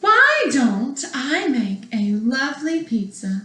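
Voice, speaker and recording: At a very slow pace, a woman uses a put-on character voice pitched high. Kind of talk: bedtime story. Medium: read story. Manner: polite, cheerful.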